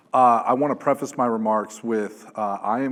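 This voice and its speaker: A man's voice booms. He speaks at a fairly slow pace. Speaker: police sergeant. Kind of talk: conference talk.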